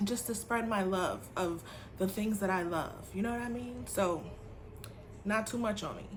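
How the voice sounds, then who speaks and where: A woman with a somewhat breathy, medium-pitched voice speaks at a moderate pace with ordinary pitch variation, long, frequent pauses and audible room echo. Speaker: teacher and beauty vlogger. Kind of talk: casual vlog haul review. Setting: home apartment.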